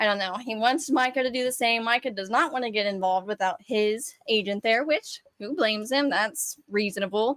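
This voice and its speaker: Speaking at a fairly quick pace, a woman uses a fairly high pitch with ordinary pitch variation. She leaves hardly any pauses. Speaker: sports podcast co-host. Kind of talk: casual chat. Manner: fast.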